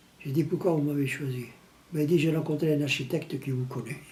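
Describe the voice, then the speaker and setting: A man's fairly high-pitched voice amid audible room echo and noticeable background noise. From Tunisia, Italian family. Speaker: retired plumber telling his life story. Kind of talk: documentary interview, life story. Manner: halting, with repetitions.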